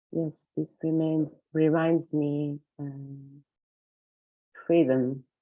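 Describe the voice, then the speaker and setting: A woman with a Portuguese accent speaks at a very slow pace in a very deep, low pitch. Her intonation is monotone and flat, and she leaves long, frequent pauses. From Portugal. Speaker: circle participant. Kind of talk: sharing circle. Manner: halting.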